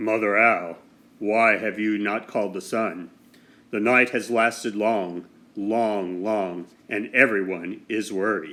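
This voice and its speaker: A man puts on a character voice with a fairly low pitch. He speaks at a fairly slow pace. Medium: read story. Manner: solemn, measured.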